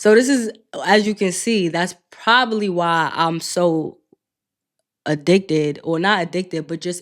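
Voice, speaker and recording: A woman's fairly low voice in a New York accent, at a moderate pace with ordinary pitch variation. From New York City, Queens. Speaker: podcast host, clinical social worker. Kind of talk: casual podcast monologue.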